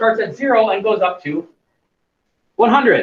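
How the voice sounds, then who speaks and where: Extremely high-pitched, a man speaks at a fairly slow pace. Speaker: chemistry teacher. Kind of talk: lecture.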